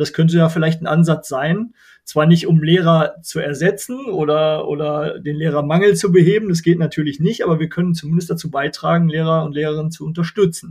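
A man speaks with hardly any pauses in a normal speaking voice. His pitch is fairly high, and his intonation stays fairly even. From Germany, Bergisches Land (North Rhine-Westphalia). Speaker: non-profit association chairman. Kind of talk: interview.

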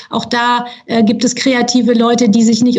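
A woman speaks at a fairly high pitch. Audible room echo and noticeable background noise are present. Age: 50s. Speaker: charity secretary-general. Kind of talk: podcast interview. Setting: studio.

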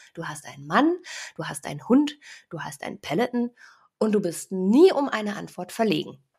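A somewhat breathy woman speaks at a medium pitch and a moderate pace, with long, frequent pauses. Her pitch swings very widely and her loudness shifts a lot. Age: 30s. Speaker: podcast host and digital consultant. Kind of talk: scripted podcast trailer, playful.

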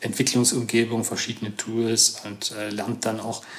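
A man's medium-pitched voice with a slight Saxon accent, monotone, flat intonation and a moderate pace. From Saxony, Chemnitz region. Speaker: computer science professor. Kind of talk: interview. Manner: hesitant, many fillers.

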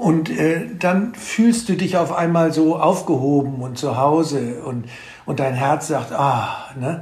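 A man speaks very slowly at a fairly high pitch, with ordinary pitch variation. Noticeable background noise and audible room echo are in the recording. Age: 70s. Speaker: author and plant expert. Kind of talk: casual conversation. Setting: at his farm. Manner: halting, many fillers.

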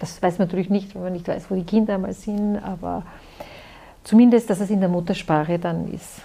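Somewhat breathy, with a dark, mellow tone, a woman speaks fairly quickly at a medium pitch with fairly even intonation. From Austria, Styria. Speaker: pharmacist. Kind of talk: interview.

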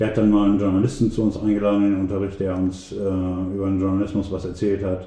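Amid noticeable background noise and audible room echo, a man talks at a very fast pace in a fairly low pitch with monotone, flat intonation. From East Frisia, Emden (Transvaal district). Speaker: magazine editor and photographer. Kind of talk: interview. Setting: private home. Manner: hesitant with many fillers.

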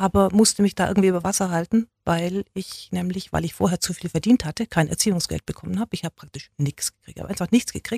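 Somewhat breathy and dark, mellow in tone, a woman talks at a medium pitch and a fairly quick pace with ordinary pitch variation. The recording is very clean, with a silent background and a dry, close sound with no echo. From Swabia, Germany (Neu-Ulm), raised speaking standard German at home. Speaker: journalist and magazine publisher. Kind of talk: interview.

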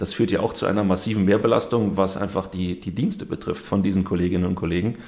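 Talking at a very fast pace, a man with a fairly low pitch shows ordinary pitch variation. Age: 30s. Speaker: police union leader. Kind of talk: interview.

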